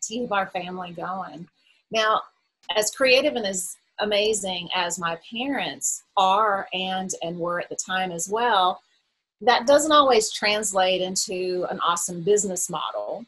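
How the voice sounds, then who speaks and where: A woman speaks with a Southern US accent at a medium pitch. Her pace is fairly slow, with ordinary pitch variation. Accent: very Southern. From moved around: Montreal, Bahamas, then South Carolina. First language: French. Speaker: publisher. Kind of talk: interview.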